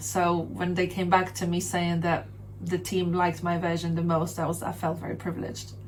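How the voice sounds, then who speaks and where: With a Polish accent, a woman speaks at a fairly quick pace in a fairly low pitch, her voice showing vocal fry against audible room echo. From Poland (Sopot, north coast). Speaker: rapper and singer. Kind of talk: interview. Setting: radio studio.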